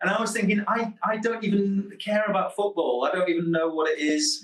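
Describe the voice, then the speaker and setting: The voice, in a Manchester accent, has lively intonation and a fairly quick pace, with noticeable background noise behind it. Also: man. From northern England, Manchester. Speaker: psychotherapist and researcher. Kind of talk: radio interview.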